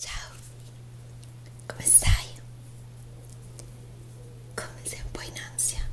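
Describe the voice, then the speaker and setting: The voice is monotone with flat intonation, moving at a very slow pace with long, frequent pauses over noticeable background noise. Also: woman, very deep, low pitch for a woman. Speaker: ASMR roleplay host. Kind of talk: ASMR roleplay, makeup and cosplay. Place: home room.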